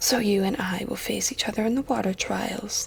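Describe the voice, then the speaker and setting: A woman whispers in a raspy, put-on character voice at a moderate pace. Light background noise runs underneath. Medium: read story. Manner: whispered, taunting.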